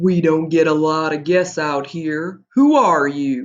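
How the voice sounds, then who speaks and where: The pace is fairly slow. A put-on character voice sits at a middle pitch. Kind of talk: read-aloud character voice. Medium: read story. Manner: loud, roaring, jovial.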